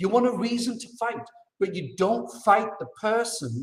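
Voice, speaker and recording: Speaking at a moderate pace, a man with a British accent uses an animated tone. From UK. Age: 50s. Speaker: expat interviewee. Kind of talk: casual interview conversation.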